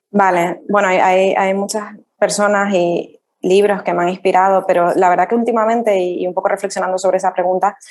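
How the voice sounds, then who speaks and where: Talking at a fairly quick pace, a woman with a Canarian accent keeps a medium pitch and monotone, flat intonation. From Canary Islands, Tenerife. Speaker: rural tourism entrepreneur. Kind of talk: interview.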